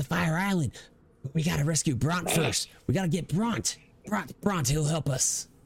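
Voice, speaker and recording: Putting on a character voice, a man talks at a moderate pace with a fairly high pitch and a hissing sound. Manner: pleading, eager.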